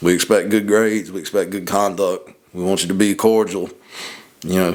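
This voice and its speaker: A man talks fairly quickly at a fairly low pitch. His intonation is monotone and flat. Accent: Southern. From US Deep South. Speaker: podcast co-host. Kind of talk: casual chat.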